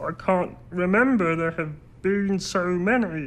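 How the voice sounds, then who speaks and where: Using a put-on character voice at medium pitch, a woman speaks at a fairly slow pace. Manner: weary, wistful.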